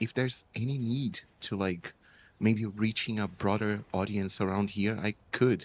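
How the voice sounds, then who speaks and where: With a Portuguese accent, a man talks at a fairly slow pace, his fairly low pitch carried on fairly even intonation. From Brazil. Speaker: translator, new player. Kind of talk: casual chat. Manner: halting, hesitant.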